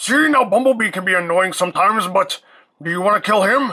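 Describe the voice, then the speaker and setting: A very fast, fairly high-pitched put-on character voice. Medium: audio drama.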